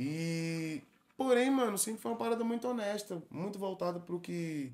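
A man speaks at a moderate pace. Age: 30s. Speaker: pagode singer; podcast guest. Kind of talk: casual interview chat. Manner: casual, slangy. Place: studio. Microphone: studio mic.

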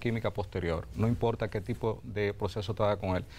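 A man's fairly low voice with a Dominican accent, vocal fry and ordinary pitch variation. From Dominican Republic, Azua. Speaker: mining company executive. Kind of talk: TV interview. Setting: TV studio. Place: studio. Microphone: lapel.

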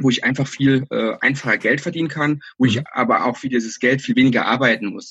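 Speech comes at a fairly quick pace in a somewhat breathy voice. The pitch varies in an ordinary way. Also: man. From Saarland, Germany. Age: 30s. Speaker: entrepreneur. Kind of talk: interview. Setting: phone or video call.

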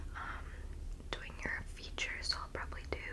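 Loud background noise accompanies a woman speaking. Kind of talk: soft-spoken role-play talk to viewer. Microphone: phone near.

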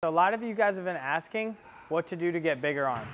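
Ordinary pitch variation in a man's voice pitched high. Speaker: fitness vlogger. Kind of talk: tutorial. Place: gym. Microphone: camera far.

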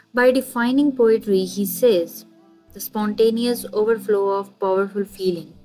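A woman speaks at a moderate pace with a fairly high pitch. Her intonation stays fairly even, with music in the background. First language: not English. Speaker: literature lecturer. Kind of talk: educational lecture.

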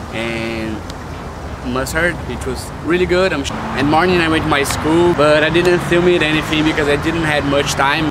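Loud background noise fills the recording. Over it, a man speaks with a Brazilian accent. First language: Portuguese. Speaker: vlogger, international student. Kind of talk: casual vlog talk to camera. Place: street.

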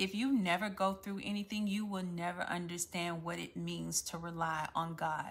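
Speaking with a Louisiana accent, a woman sounds somewhat breathy at a fairly low pitch. Her pace is moderate and her intonation fairly even. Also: hardly any pauses. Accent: Southern US (Louisiana). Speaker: faith-based content creator. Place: home room. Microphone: phone near.

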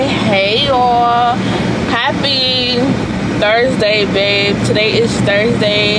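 A woman at a very slow pace over loud background noise. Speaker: vlogger. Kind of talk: casual vlog talk to camera. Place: car. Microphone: phone near.

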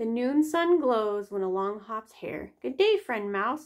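The reading voice is unforced, and the intonation is lively.

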